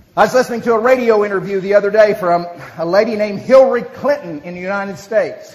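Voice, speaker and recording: A very fast, high-pitched man with an American accent, ordinary pitch variation, big swings in loudness and noticeable background noise. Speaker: motivational speaker, business leader. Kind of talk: speech to an audience with interpreter.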